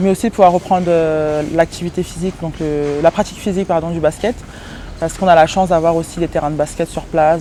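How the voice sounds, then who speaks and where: Noticeable background noise sits behind a woman talking at a very fast pace. Her pitch is fairly low, and her intonation stays fairly even. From France, Paris region. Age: 20s. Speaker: professional basketball player. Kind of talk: interview answers. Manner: hesitant, many fillers.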